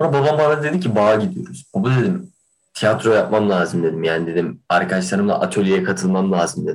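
A man with vocal fry and a fairly low pitch talks at a fairly quick pace, keeping very even loudness while his pitch swings very widely. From Kahramanmaraş, Turkey. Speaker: theatre student podcaster. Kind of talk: casual chat. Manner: animated.

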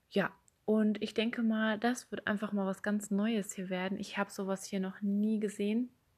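Somewhat breathy, a woman speaks at a moderate pace and medium pitch in a monotone, flat intonation. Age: 20s. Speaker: podcast host. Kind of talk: personal monologue.

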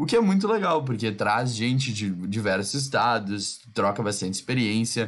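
A plain, everyday voice moves at a moderate pace with hardly any pauses. Its pitch variation is ordinary. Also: man, medium pitch for a man. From southern Brazil. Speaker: podcast host.

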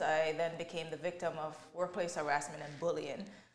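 Room echo can be heard around this voice. A woman speaks at a fairly low pitch. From Jamaica, moved to Canada at nine. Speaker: mental health advocate and author. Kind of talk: interview testimony.

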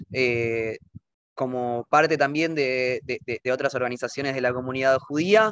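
This man has a medium pitch and a bright, sharp tone, with ordinary pitch variation. He goes at a fairly slow pace, and the sound is dry and close with no echo. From Argentina. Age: 20s. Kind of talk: interview. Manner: halting, many fillers.

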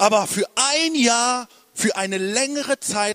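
A man's high-pitched, animated voice with very wide pitch swings and a dry, close sound with no echo. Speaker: preacher. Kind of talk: sermon. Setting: church with live congregation. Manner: animated, urgent, rallying the congregation with call-and-response; emphatic, repeating phrases for effect.

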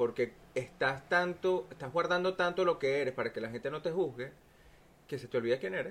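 Speaking in a Venezuelan accent, a man has a fairly high pitch. His intonation is lively and his pace fairly quick. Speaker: podcast guest. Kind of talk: casual chat.

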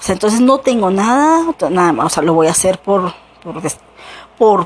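Her pitch swings very widely. The woman's voice sits at a medium pitch. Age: 40s. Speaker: podcaster. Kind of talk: personal monologue. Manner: halting.

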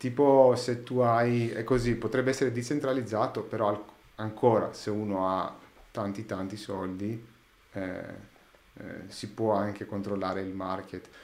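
Heard with audible room echo, a man speaks at a fairly slow pace with fairly even intonation, long, frequent pauses and big swings in loudness. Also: fairly low pitch for a man. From Greece, Athens. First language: Greek (speaking Italian). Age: 30s. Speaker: sound engineer. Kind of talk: casual chat. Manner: halting.

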